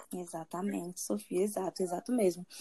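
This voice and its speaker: Her tone is dark and mellow. The voice is a woman's. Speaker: podcast host and university student. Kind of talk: casual chat.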